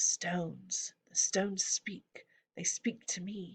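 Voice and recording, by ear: A put-on, female-sounding voice whispering at a fairly slow pace.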